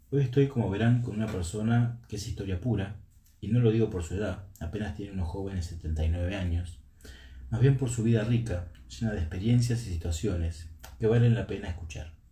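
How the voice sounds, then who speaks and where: The voice has a dark, mellow tone and sounds somewhat breathy. It moves at a fairly quick pace. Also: man, fairly low pitch for a man, ordinary pitch variation. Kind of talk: podcast host interview.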